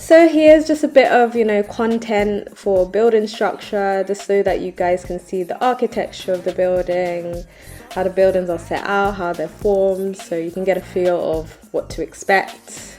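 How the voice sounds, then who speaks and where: The tone is upbeat. Music plays in the background. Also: woman, medium pitch for a woman, ordinary pitch variation, moderate pace. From British Jamaican. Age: 20s. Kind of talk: travel vlog narration. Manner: casual, upbeat.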